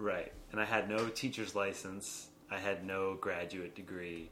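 With noticeable background noise behind him, a man speaks at a very deep, low pitch with fairly even intonation. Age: 20s. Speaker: improv comedian and performer. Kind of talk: casual chat.

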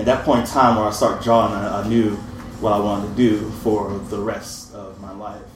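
Over noticeable background noise, a man speaks fairly quickly in a fairly low, flat monotone, his loudness swinging widely. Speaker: writer and artist. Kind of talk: storytelling live.

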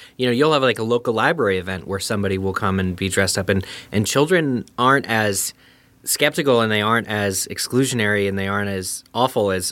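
A man with an American accent, an unremarkable speaking voice, fairly low in pitch, with ordinary pitch variation and a fairly quick pace. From eastern Pennsylvania. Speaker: podcaster and editor. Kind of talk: casual chat.

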